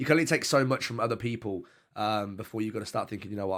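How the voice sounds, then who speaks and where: Very fast and fairly low-pitched, a man with a British accent speaks with ordinary pitch variation on a very clean recording with a silent background. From UK. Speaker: streamer. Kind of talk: casual interview chat.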